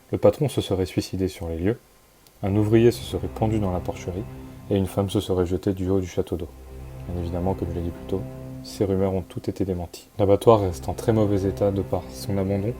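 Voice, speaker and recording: A man's very deep, low voice at a fairly quick pace, with music in the background. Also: ordinary pitch variation. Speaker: urbex video narrator. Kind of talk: scripted narration. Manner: hesitant.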